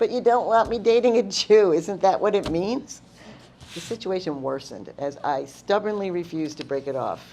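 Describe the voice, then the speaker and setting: With a New York accent, a woman speaks using lively intonation. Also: medium pitch for a woman, moderate pace. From Long Island, New York. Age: 70s. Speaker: storyteller. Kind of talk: personal storytelling.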